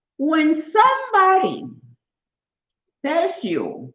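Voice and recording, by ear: Her pitch extremely high and swinging very widely, a woman speaks at a very slow pace in a fairly bright tone.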